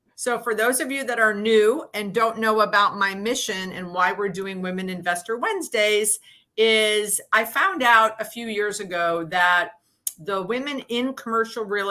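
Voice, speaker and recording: A woman speaks at a fairly slow pace in a normal speaking voice. Her pitch is fairly high, with ordinary variation. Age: 60s. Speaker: show host, commercial real estate investor. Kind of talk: interview conversation. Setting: live video stream.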